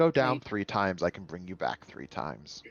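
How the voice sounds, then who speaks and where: A man puts on a character voice, pitched very deep and low, and keeps an even, moderate pace. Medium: actual play. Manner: measured, earnest.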